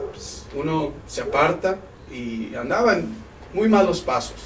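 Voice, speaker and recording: Against noticeable background noise and audible room echo, a man talks at a high pitch. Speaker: pastor. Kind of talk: sermon. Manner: halting.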